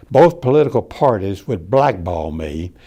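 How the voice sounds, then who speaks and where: With a strong Texan accent, a man speaks at a moderate pace in a fairly low, dark, mellow tone. His pitch swings very widely. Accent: Texas accent, strong. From Texas. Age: 80s+. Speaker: retired citizen giving political commentary. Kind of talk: prepared speech. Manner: measured, reading from script.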